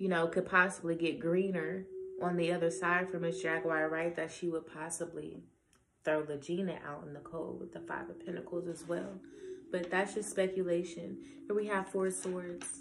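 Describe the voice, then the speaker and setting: A woman's fairly low, monotone voice at a moderate pace, flat in intonation, with audible room echo and noticeable background noise. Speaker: tarot reader. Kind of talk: tarot reading monologue. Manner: casual, conversational.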